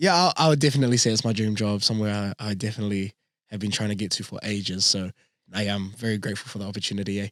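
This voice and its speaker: Talking at a very fast pace, a man with a New Zealand accent uses a fairly low pitch and ordinary pitch variation. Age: 20s. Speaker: radio announcer. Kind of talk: casual interview. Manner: talkative.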